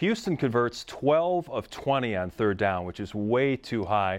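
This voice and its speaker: Against a quiet background, a man with a medium pitch talks at a moderate pace with lively intonation in a normal speaking voice. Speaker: sports reporter, interviewer. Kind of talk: sports interview.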